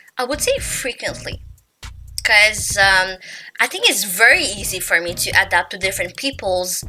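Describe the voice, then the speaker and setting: A woman with a non-native accent at a moderate pace, music playing in the background. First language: not English. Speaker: YouTuber. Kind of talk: casual chat. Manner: casual, filler-heavy.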